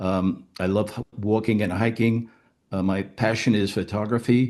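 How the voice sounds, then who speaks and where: Fairly low-pitched, monotone male speech at a moderate pace, with music in the background. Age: 80s+. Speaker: retiree, Navy veteran. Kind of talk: testimony. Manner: halting.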